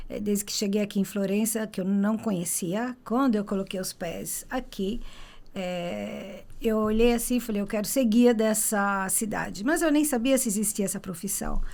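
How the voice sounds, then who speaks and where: Her pitch is medium, and she moves at a moderate pace. The woman has a plain, everyday voice with ordinary pitch variation. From Brazil. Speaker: tour guide. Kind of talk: interview.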